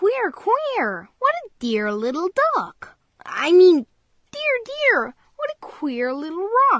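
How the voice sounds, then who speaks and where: A woman's put-on character voice, extremely high in pitch, very slow, with very wide pitch swings. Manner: funny, flustered.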